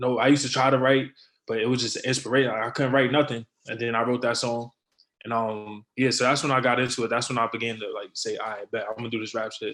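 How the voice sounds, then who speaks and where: A man's very fast, flat, monotone delivery at a medium pitch. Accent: New York. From New York City (Brooklyn and the Bronx). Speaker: rapper. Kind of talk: interview.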